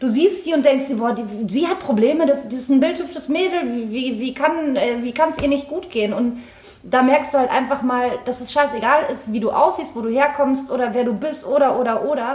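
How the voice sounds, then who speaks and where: With audible room echo and noticeable background noise, a woman talks at a fairly quick pace in a high pitch with ordinary pitch variation. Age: 30s. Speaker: TV actress. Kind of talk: casual chat.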